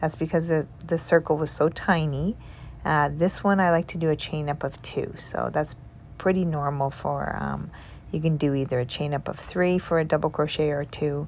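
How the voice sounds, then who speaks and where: A woman with a very deep, low pitch and a calm tone at a moderate pace. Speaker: crochet tutorial creator. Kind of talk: tutorial.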